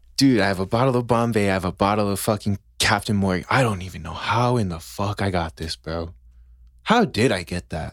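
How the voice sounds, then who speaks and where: Against a very clean recording with a silent background, a man with an ordinary speaking voice and fairly low pitch talks at a fairly quick pace. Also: ordinary pitch variation. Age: 20s. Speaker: podcast co-host. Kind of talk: casual chat. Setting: studio.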